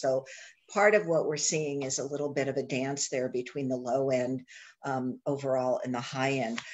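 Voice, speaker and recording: At a moderate pace, a woman speaks with a very deep, low pitch. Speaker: guest. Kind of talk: informational briefing. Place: home room. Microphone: video call.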